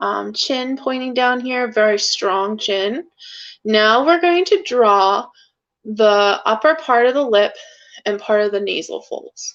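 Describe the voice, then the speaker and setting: Over a quiet background, a woman speaks at a high pitch and a very slow pace with lively intonation. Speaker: art teacher. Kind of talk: tutorial.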